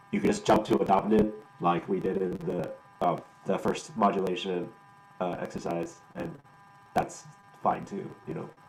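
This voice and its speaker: Amid audible room echo and noticeable background noise, a man with a fairly low pitch speaks with lively intonation. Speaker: concert pianist teaching improvisation. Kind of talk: workshop lecture. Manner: fast; halting, many restarts and fillers.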